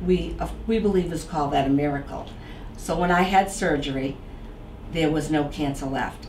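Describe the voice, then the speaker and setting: A woman with a Boston accent talks in a very deep, low pitch. Noticeable background noise runs under her voice. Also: ordinary pitch variation, moderate pace. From Boston area. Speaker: author. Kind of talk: interview answer.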